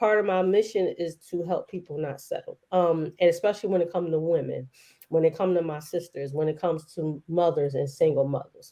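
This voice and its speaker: A woman speaks at a fairly quick pace in a dark, mellow tone. Her pitch is fairly low, with ordinary variation. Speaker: entrepreneur and wealth educator. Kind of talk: interview. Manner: casual, conversational.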